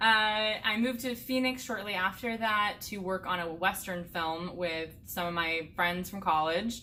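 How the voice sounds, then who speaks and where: Speaking in an American accent at a fairly slow pace with hardly any pauses, a woman uses a medium pitch and ordinary pitch variation, with audible room echo. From US Midwest (Indiana). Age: 20s. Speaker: hiker and vlogger. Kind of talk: casual Q&A chat.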